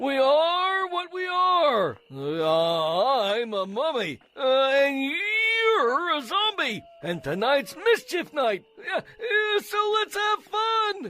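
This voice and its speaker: Putting on a character voice, a man speaks very slowly at an extremely high pitch with very wide pitch swings. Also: hardly any pauses. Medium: audio drama. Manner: hesitant, many "uh"s.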